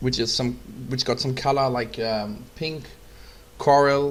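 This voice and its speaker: Fairly even intonation with a German accent. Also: man. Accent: German accent, non-fluent English. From Germany. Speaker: photographer. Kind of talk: tutorial. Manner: halting, many fillers.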